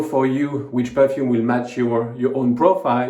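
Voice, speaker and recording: A man speaks with a French accent. Noticeable background noise and audible room echo fill the recording. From southern France (Montpellier). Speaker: fragrance reviewer, video creator. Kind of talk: product review monologue. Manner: halting, many fillers.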